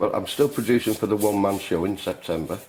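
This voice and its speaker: A man speaks with a Lancashire accent. His pitch is fairly low, with ordinary variation. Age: 60s. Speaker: painter. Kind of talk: tutorial. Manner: halting.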